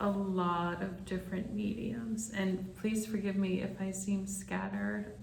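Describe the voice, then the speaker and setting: In a room with audible echo, a woman with a medium pitch speaks at a very slow pace. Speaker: spiritual medium. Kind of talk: channeling session monologue. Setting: conference room. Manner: calm.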